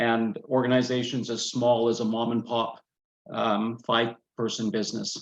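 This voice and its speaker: This is a man talking. His pace is moderate. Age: 60s. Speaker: quality and lean consultant. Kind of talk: webinar presentation. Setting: webinar. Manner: hesitant with fillers.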